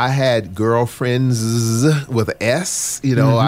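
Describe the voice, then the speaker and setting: Against noticeable background noise, a man speaks at a medium pitch. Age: 60s. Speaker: pastor. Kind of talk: casual chat.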